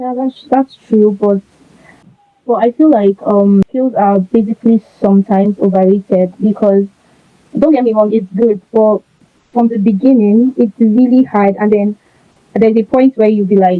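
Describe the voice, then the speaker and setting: At a moderate pace, the speaker has a normal speaking voice and fairly even intonation. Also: woman, fairly high pitch for a woman. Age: 20s. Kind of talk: interview answer.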